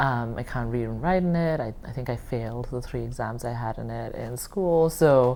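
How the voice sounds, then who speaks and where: Audible room echo surrounds a woman who talks at a moderate pace with hardly any pauses. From India. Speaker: oral history interviewee. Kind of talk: oral history interview. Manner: hesitant, many fillers.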